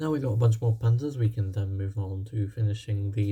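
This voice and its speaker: A dark, mellow tone, somewhat breathy, with fairly even intonation and a fairly quick pace. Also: man. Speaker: gaming YouTuber. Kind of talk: gameplay commentary. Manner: fast; hesitant, many fillers.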